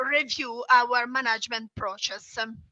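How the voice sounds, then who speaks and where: A woman speaks in a raised, projected voice at a fairly slow pace with fairly even intonation, the sound dry and close with no echo. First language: not English. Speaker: small business owner. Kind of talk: webinar presentation. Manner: halting, many fillers.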